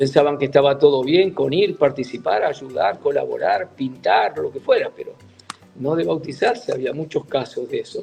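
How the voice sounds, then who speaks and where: Music in the background behind a man's moderate pace. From Argentina, Buenos Aires. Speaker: church leader, retired mission president. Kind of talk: interview testimony.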